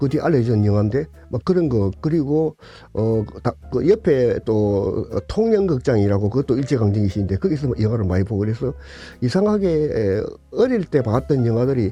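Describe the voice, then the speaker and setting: A man's medium-pitched voice at a moderate pace with very wide pitch swings, music in the background. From South Korea, Tongyeong (South Gyeongsang). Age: 80s+. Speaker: retired film archive director and film enthusiast. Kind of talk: interview reminiscence. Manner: halting, many fillers.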